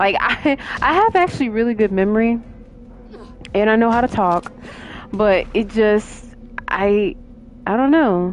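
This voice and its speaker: A quiet woman speaks at a fairly high pitch with very even loudness and ordinary pitch variation. Her fairly slow pace includes long, frequent pauses over noticeable background noise. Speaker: gaming streamer. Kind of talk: live gameplay commentary. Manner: halting, fumbles over words.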